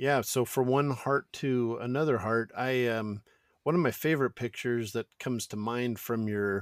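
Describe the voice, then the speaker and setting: This man has an ordinary speaking voice at medium pitch with ordinary pitch variation and a moderate pace. The recording is very clean with a silent background and a dry, close sound with no echo. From Northern California, North Bay. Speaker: podcast host. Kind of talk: casual interview chat.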